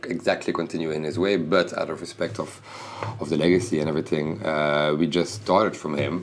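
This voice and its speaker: A man's very deep, low voice at a very fast pace, over noticeable background noise. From Belgium (Bruges, Flanders). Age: 30s. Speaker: fashion designer. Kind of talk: interview. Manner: halting.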